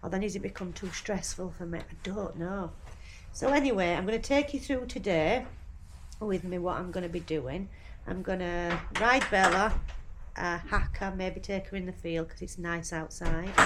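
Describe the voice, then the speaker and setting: Audible room echo surrounds speech at a moderate pace with ordinary pitch variation. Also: woman, medium pitch for a woman. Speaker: horse vlogger. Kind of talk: casual vlog talk to camera.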